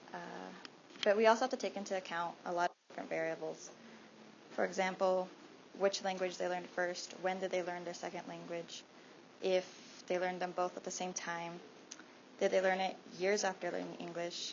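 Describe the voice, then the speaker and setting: A woman with a Spanish accent speaks at a fairly quick pace and medium pitch. Her intonation is monotone and flat, with long, frequent pauses. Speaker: student presenter. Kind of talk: class presentation talk. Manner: halting.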